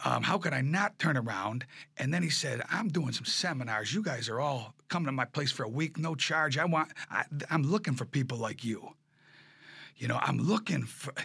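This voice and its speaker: The recording is very clean, with a silent background, and a man speaks at a moderate pace in a fairly high pitch. His tone is bright and sharp, with vocal fry and lively intonation. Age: 50s. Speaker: furniture business owner and auctioneer. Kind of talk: casual interview. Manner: animated.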